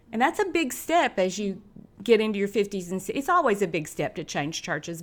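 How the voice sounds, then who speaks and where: With an East Tennessee accent, a woman speaks at a moderate pace and a fairly high pitch. The recording is very clean, with a silent background. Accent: East Tennessee Southern. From Knoxville, Tennessee (US South). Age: 60s. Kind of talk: testimony.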